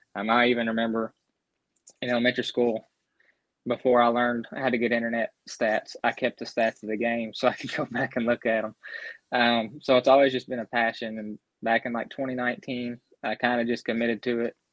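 A man talks at a fairly quick pace and medium pitch with a Southern US accent. His intonation is monotone and flat, and the sound is dry and close, with no echo. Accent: Southern US, noticeable. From Grayson County, central Kentucky. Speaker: sports blogger and analyst. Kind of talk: casual sports chat.

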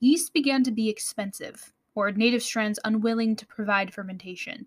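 A woman speaks at a moderate pace with a fairly high, somewhat breathy voice. The sound is dry and close, with no echo. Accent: American. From United States. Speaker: podcast host. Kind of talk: scripted educational podcast narration.

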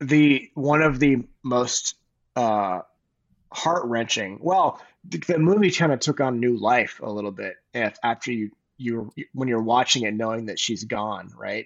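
Here a man talks at a fairly slow pace with a medium pitch. His intonation is lively. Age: 40s. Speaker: former podcast co-host. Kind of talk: casual chat. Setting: studio. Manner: animated.

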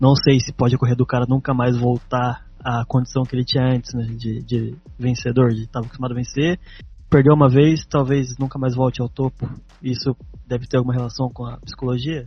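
Music plays in the background as a man speaks at a fairly quick pace. His pitch is medium and his intonation monotone and flat. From Brazil, Taubaté (São Paulo state). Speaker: podcast co-host. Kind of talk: casual interview chat.

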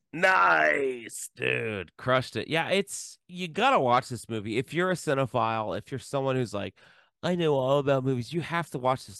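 A man with an American accent speaks at a moderate pace and medium pitch, his tone bright and sharp and his intonation lively, in a dry, close sound with no echo against a quiet background. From US Midwest (Columbus, Ohio). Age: 40s. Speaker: film podcast co-host. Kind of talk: casual chat.

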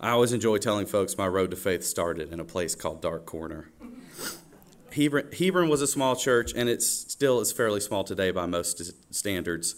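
With a Southern US accent, a man talks in a fairly low pitch and with lively intonation. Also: moderate pace. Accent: Southern US (Georgia). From US South, Georgia (Oconee County). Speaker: church worship leader. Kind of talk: testimony. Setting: church stage with congregation.

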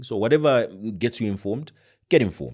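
A man speaks at a fairly quick pace with lively intonation. The recording is very clean, with a silent background. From Zambia. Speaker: journalist. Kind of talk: casual interview conversation.

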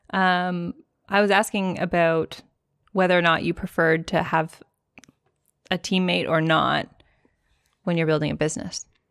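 A woman's fairly low, fairly even voice at a moderate pace, with long, frequent pauses, dry and close with no echo, on a very clean recording with a silent background. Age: 30s. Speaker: podcast co-host, business owner. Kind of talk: casual chat.

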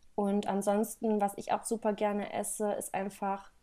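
On a very clean recording with a silent background, a woman speaks at a fairly slow pace and medium pitch in a dark, mellow tone. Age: 20s. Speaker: holistic health and nutrition coach. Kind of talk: podcast interview. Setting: studio.

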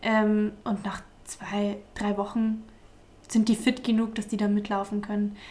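Fairly slow delivery with monotone, flat intonation. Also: woman, fairly high pitch for a woman. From Bavaria, Altmühltal near Eichstätt. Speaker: shepherd and agricultural graduate. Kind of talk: casual interview.

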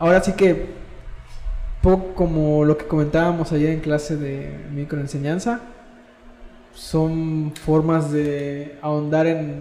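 Speaking with a Mexican accent at a very slow pace, a man uses a fairly high pitch and fairly even intonation, with long, frequent pauses, audible room echo and noticeable background noise. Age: 20s. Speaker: university student, podcast co-host. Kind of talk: casual chat.

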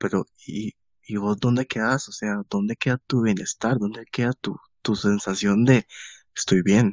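The speaker talks fairly slowly in a Costa Rican accent, with fairly even intonation. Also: man, fairly low pitch for a man. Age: 20s. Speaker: podcast host. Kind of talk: casual chat.

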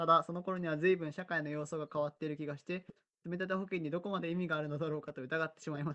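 A bright, sharp tone in monotone, flat intonation, at a very fast pace with big swings in loudness. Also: man, fairly high pitch for a man. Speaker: podcast host. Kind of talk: casual chat. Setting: video call.

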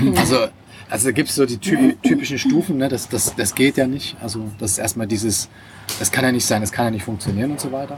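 A man talks at a very fast pace with medium pitch and ordinary pitch variation. Noticeable background noise is present. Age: 40s. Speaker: online entrepreneur. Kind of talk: casual chat. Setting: restaurant by the sea.

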